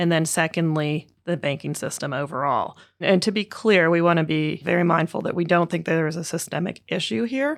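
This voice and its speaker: This is a normal speaking voice with ordinary pitch variation. It moves at a fairly quick pace with hardly any pauses. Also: woman, fairly low pitch for a woman. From western Canada (Vancouver). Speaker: portfolio manager. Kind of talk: interview.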